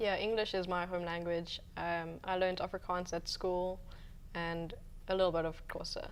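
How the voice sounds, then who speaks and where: With audible room echo, a woman speaks at a moderate pace in a monotone, flat intonation. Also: medium pitch for a woman. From South Africa, Eastern Cape (Grahamstown). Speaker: guest from South Africa. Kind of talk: interview.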